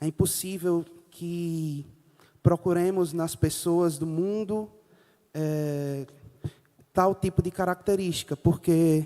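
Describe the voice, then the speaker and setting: Using a dark, mellow tone at a high pitch, a man speaks at a fairly slow pace with fairly even intonation. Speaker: preacher. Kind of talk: sermon.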